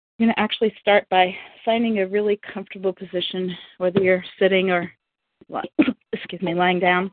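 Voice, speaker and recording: A woman speaks at a medium pitch and a fairly quick pace, with flat, monotone intonation. Her pauses are long and frequent. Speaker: workshop leader. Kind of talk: guided meditation. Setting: live group phone call.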